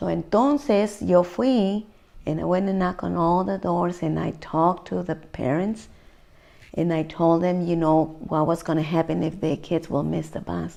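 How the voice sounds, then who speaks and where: A woman's fairly low voice with a Spanish accent, dark and mellow, at a moderate pace with ordinary pitch variation. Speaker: community activist, parent. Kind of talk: oral history interview. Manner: mixes Spanish and English.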